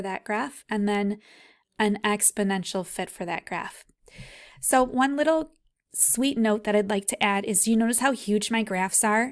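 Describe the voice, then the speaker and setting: In a very clean recording with a silent background, a woman speaks in a normal speaking voice. Her pitch is fairly high, with ordinary variation. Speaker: physics professor. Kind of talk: tutorial. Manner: casual.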